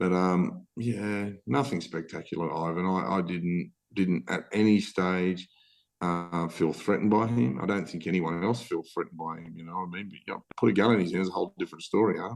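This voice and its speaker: A man with a strong Australian accent speaks in a very deep, low voice, his loudness swinging widely. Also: ordinary pitch variation, fairly quick pace. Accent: broad Australian. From Australia, western Sydney. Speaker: former bank robber. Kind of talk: casual interview chat. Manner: animated, repetitive.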